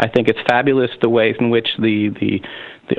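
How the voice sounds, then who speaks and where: Over noticeable background noise, a man with an American accent speaks at medium pitch in monotone, flat intonation. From US, Pennsylvania. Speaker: union leader. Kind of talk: interview.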